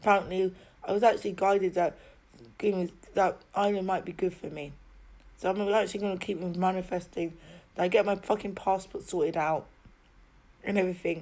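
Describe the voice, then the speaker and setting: Her delivery is monotone and flat, with long, frequent pauses. The woman has a medium pitch and a southern English accent. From England, Oxford. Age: 30s. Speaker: video diarist. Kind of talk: personal video diary monologue. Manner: halting, repetitive.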